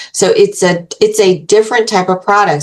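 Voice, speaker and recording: A woman speaks at a moderate pace and a medium pitch. She has an ordinary speaking voice. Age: 60s. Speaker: beauty brand co-founder, former makeup artist. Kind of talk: casual interview chat. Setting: podcast interview.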